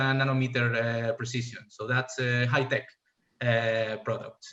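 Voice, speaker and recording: With a Spanish accent, a man speaks at a fairly slow pace with fairly even intonation. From Spain. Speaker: fuel cell scientist, industry panelist. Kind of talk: panel presentation. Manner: halting, many fillers.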